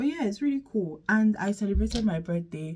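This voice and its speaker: A woman's voice comes through with a dark, mellow tone. It sounds somewhat breathy. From Nigeria. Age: 20s. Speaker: vlogger. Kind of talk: casual chat.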